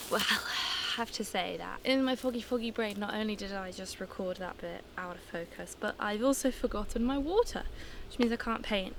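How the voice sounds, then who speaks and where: Speech at a moderate pace with ordinary pitch variation comes through noticeable background noise. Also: woman, fairly high pitch for a woman. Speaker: painter. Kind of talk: casual vlog talk to camera.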